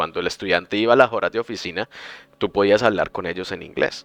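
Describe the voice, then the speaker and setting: A man speaks at a fairly low pitch, with a dry, close sound that has no echo and a quiet background. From Colombia, Bucaramanga. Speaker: podcast host, language teacher. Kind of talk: casual chat.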